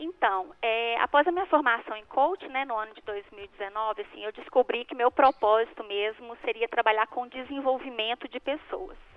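A woman with a plain, everyday voice talks at a moderate pace and fairly high pitch, with ordinary pitch variation, hardly any pauses and big swings in loudness. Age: 40s. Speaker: life coach. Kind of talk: radio interview.

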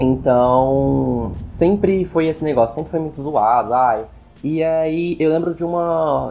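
Moderate pace, a dark and mellow tone, and ordinary variation in pitch. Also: man. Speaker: podcast co-host. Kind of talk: casual chat.

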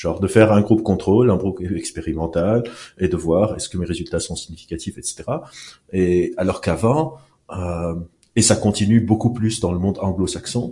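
A man with a fairly low pitch, a somewhat breathy, dark and mellow tone, ordinary pitch variation and a moderate pace, against a quiet background. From Lebanon. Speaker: neuroscientist and clinical psychologist. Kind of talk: casual interview.

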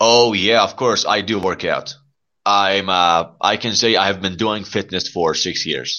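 At a fairly slow pace, a man with an American accent speaks in a fairly low pitch. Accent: Iranian speaker mimicking American. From Iran. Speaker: English learning live-stream host. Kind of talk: casual chat. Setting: live audio stream app. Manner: animated.

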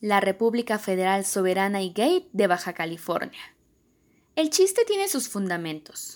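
On a very clean recording with a silent background, a woman has a plain, everyday voice at a medium pitch. She keeps a moderate pace with ordinary pitch variation. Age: 20s. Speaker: volunteer audiobook reader. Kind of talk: reading aloud.

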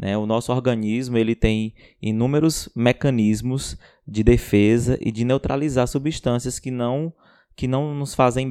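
This man's tone is dark and mellow, at medium pitch with fairly even intonation. He goes at a fairly slow pace against a quiet background. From Ceará, Brazil. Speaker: biomedical scientist and podcast co-host. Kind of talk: casual science chat.

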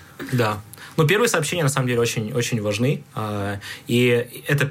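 A plain, everyday voice: a man at a medium pitch and a moderate pace, with ordinary pitch variation. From Kyrgyzstan, Bishkek. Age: 20s. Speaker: digital product developer. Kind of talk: casual chat. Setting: studio.

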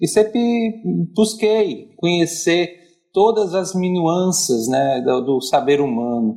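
A man speaks at a very slow pace with a dark, mellow tone. His pitch is high and swings very widely. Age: 30s. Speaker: psychologist. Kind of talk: casual chat.

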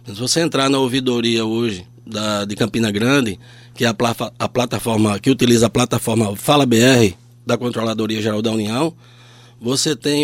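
A normal speaking voice at a moderate pace. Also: man. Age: 50s. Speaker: public auditor. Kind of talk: radio interview.

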